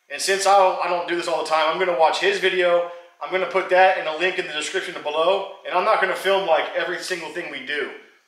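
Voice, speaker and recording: Fairly quick and monotone, with flat intonation, a man's high-pitched voice comes through with audible room echo. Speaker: hobby mechanic vlogger. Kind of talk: casual vlog chat. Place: garage. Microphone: camera far.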